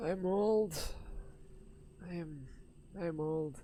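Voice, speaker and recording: A man uses a put-on character voice with a high pitch and ordinary pitch variation, and clear background noise can be heard. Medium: actual play. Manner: weary, resigned.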